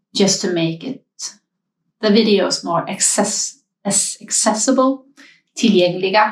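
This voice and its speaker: Somewhat breathy and medium in pitch, a woman speaks at a fairly slow pace with ordinary pitch variation and long, frequent pauses. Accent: Swedish. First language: Swedish. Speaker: knitting podcaster. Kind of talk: casual talk to viewers. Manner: hesitant, many fillers.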